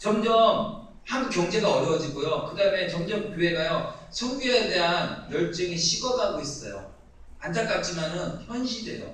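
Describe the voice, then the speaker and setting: With noticeable background noise and audible room echo, a man talks in a high pitch with ordinary pitch variation. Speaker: lay missionary. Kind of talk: mission report talk in church. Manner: fast.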